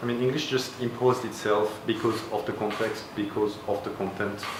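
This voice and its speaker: Over noticeable background noise and audible room echo, a man talks at a moderate pace with monotone, flat intonation. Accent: French. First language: French. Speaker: university design program head. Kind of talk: Q&A at a meetup.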